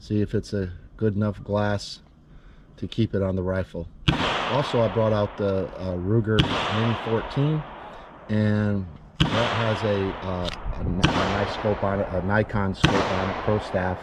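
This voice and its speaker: Through noticeable background noise, a man speaks fairly slowly at a fairly low pitch with fairly even intonation. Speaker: preacher and pastor. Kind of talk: casual talk to camera. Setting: outdoors.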